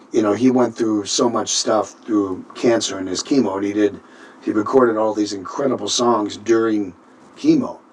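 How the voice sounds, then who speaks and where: Against noticeable background noise, a man with an American accent and a fairly low pitch speaks at a moderate pace in monotone, flat intonation. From Minnesota. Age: 60s. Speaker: singer and band leader. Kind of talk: interview. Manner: halting.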